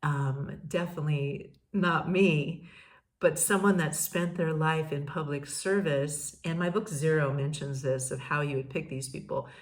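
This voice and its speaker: A woman speaks fairly slowly in a very deep, low voice that is somewhat breathy. Her intonation stays fairly even, and there is audible room echo. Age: 60s. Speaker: podcast host, peace educator. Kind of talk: casual monologue. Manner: halting, many fillers and repeats.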